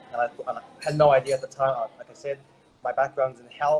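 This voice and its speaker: With an Australian accent, a man speaks at a fairly high pitch and a fairly quick pace in a monotone, flat intonation. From Australia, Brisbane. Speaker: network marketer, former health professional. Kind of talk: interview testimony. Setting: remote call.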